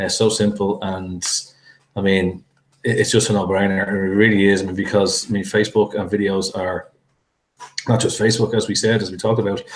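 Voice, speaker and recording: A man with a strong Irish accent talks at a fairly quick pace in a fairly low, monotone, flat voice. He takes long, frequent pauses. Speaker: interview host and product reviewer. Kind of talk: interview.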